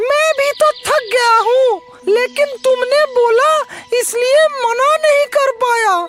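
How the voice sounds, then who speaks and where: A cartoonish character voice speaks at an extremely high pitch and a fairly slow pace. Faint music plays in the background. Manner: mild, hesitant.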